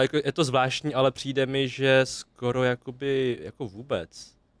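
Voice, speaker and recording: An ordinary speaking voice, a man talks at a medium pitch and moderate pace with fairly even intonation, captured in a dry, close sound with no echo and a very clean recording with a silent background. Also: hardly any pauses. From Czech Republic, western Bohemia (Klatovy area). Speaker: podcast guest from the Vietnamese community. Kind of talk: casual chat.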